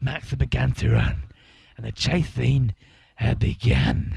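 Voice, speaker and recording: A man puts on a character voice, talking fairly slowly at a very deep, low pitch. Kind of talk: mock documentary interview.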